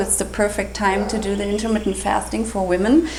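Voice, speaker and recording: A woman with a non-native accent speaks at medium pitch with ordinary pitch variation. Noticeable background noise and audible room echo come through. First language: German. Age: 40s. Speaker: health and raw food vlogger. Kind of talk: casual vlog tutorial. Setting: kitchen counter.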